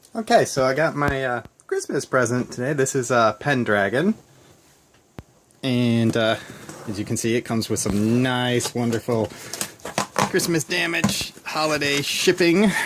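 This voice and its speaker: Noticeable background noise runs throughout. The delivery is at a fairly slow pace. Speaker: board game hobbyist. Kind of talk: casual unboxing talk to camera. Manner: hesitant, stammering.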